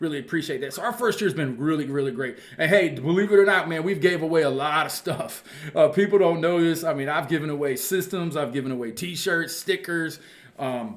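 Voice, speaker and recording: Amid noticeable background noise, a man with a fairly high pitch speaks at a fairly quick pace with ordinary pitch variation. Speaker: football coach and channel host. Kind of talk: casual monologue to viewers. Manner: fast.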